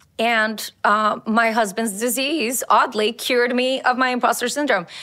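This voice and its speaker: Recorded very cleanly against a silent background, a woman with a Colombian accent speaks in a high pitch with a bright, sharp tone. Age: 40s. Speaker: lawyer. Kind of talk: interview.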